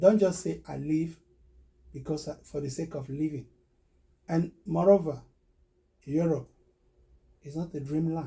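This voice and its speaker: With a Cameroonian accent, this man has a fairly high voice and a dark, mellow tone. He talks at a moderate pace. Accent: Cameroonian francophone English. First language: Medumba. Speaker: recruitment business owner. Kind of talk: interview testimony. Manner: halting.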